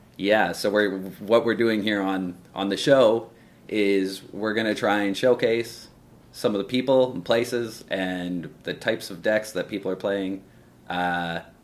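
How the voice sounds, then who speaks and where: In a plain, everyday voice with a Canadian accent, a man speaks fairly slowly at a fairly low pitch with fairly even intonation. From northern Canada. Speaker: web show host. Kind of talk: show introduction. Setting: pub.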